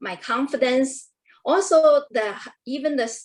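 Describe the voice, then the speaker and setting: Someone with a non-native accent speaks at a fairly slow pace. Their intonation is lively. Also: woman. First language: not English. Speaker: Toastmasters protégé. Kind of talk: panel discussion. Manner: halting.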